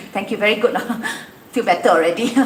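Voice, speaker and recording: The tone is animated and the intonation lively. Noticeable background noise and audible room echo run through the clip. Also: woman. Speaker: event host. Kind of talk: live event presenting. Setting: outdoor event venue.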